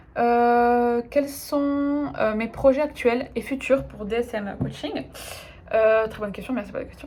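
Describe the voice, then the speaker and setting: A woman with a fairly high voice speaks with ordinary pitch variation. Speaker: life coach. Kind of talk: casual Q&A video monologue. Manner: fast; hesitant, many fillers.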